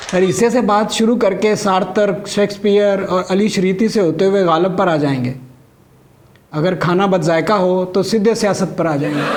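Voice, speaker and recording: A high-pitched man with very even loudness and ordinary pitch variation, over noticeable background noise. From Gujranwala, Pakistan. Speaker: stand-up comedian; doctor. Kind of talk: stand-up comedy routine.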